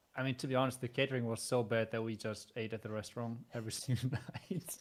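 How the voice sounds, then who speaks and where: A quiet man at a medium pitch, very fast pace, fairly even intonation. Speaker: esports player. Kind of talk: casual chat. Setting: live stream.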